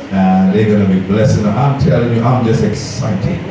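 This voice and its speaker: Amid noticeable background noise and strong room echo, a man speaks at a fairly low pitch. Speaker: program host. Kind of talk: church announcements and call-and-response. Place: church. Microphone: pa.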